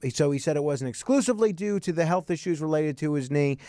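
An unremarkable speaking voice at a fairly quick pace, with lively intonation. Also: man. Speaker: radio host. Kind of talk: call-in talk radio. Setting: studio.

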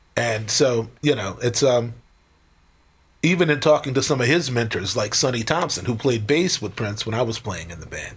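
With an American accent, a man talks at a moderate pace in an ordinary speaking voice, medium in pitch, with lively intonation. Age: 50s. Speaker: professional drummer. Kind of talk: casual interview chat.

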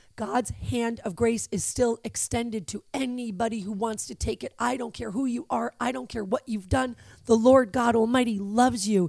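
A woman's fairly high voice at a moderate pace, with fairly even intonation and hardly any pauses. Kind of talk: religious podcast talk.

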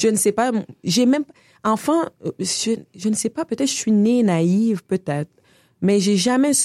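At a fairly slow pace with long, frequent pauses, a woman with a fairly high pitch and a dark, mellow tone speaks with lively intonation and very even loudness, in a dry, close sound with no echo. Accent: Quebec. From Senegal (Dakar) until 8, then Canada (Quebec). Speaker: artist and feminist activist. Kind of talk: interview conversation. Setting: studio.

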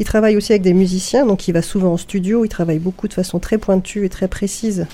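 Moving at a fairly quick pace with hardly any pauses, the voice has a dark, mellow tone and fairly even intonation. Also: woman. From Paris area. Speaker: librarian. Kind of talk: radio interview. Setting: radio studio, live. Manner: halting.

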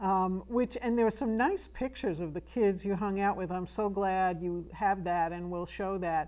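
Her tone is slightly mellow. The woman's pitch variation is ordinary.

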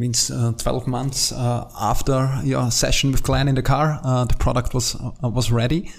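In an Austrian accent, a man talks fairly slowly at medium pitch with fairly even intonation. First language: German. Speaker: podcast host and company CEO. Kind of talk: interview. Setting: in person at company headquarters. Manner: halting, many filler sounds.

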